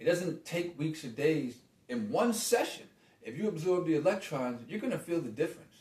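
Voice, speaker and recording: A man talks at a fairly quick pace, his high pitch moving in very wide swings. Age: 50s. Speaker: meditation and healing arts teacher. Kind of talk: video monologue on health. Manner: fast.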